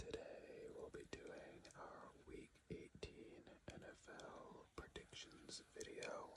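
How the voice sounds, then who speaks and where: This is a man. He is whispering. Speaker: ASMR creator / sports commentator. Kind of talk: ASMR sports predictions talk to camera. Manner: whispered, soft-spoken.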